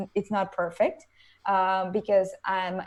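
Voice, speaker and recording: A woman speaks at a medium pitch with a Venezuelan accent. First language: Spanish. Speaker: motivational speaker. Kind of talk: interview.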